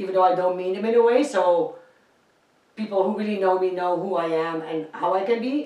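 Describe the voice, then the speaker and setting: A woman speaks in a Dutch accent at a medium pitch. Her pace is moderate, with ordinary pitch variation. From Netherlands. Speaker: singer. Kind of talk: casual interview.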